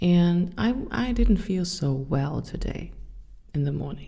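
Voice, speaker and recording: Audible room echo surrounds a woman whose very deep, low pitch and dark, mellow tone come at a fairly slow pace. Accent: German. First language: German. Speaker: podcast host. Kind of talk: personal monologue podcast.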